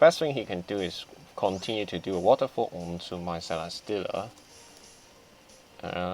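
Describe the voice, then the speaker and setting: This man's very deep, low voice moves at a moderate pace, broken by long, frequent pauses and big swings in loudness. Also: ordinary pitch variation. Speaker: competitive video game player. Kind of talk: gameplay commentary.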